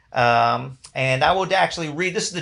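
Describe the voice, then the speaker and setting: A man's bright, sharp voice at a fairly quick pace, against a quiet background. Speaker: band director. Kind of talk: awards ceremony announcements. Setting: live stream. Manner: fast.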